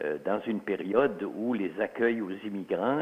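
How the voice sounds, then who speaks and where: A man with an Alsatian accent speaks in a medium pitch at a fairly slow pace. His intonation stays fairly even. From Alsace, then Quebec from the 1950s. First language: Alsatian (speaking French). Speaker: author and historian. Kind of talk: interview. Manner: hesitant, many fillers.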